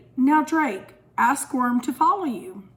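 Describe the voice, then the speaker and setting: Pitched high, a woman puts on a character voice and talks fairly slowly. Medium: read story. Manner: calm, encouraging.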